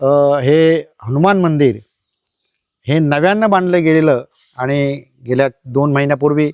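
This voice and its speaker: A man with a normal speaking voice, fairly high in pitch, with ordinary pitch variation and very even loudness, in a dry, close recording with no echo. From Konkan, Ratnagiri district (Lanja). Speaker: writer and community leader. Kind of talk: on-site interview explaining temple history. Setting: outdoors at village temple.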